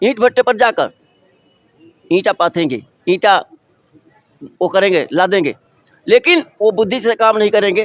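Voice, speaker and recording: A high-pitched man with lively intonation, in a dry, close sound with no echo. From eastern Uttar Pradesh (Deoria). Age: 70s. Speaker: retired clerk and social worker. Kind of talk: interview testimony. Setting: community conference.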